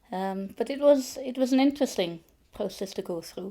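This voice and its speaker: A dark, mellow tone from a woman, recorded very cleanly against a silent background. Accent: Welsh. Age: 60s. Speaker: photographer. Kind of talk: interview. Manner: hesitant, many fillers.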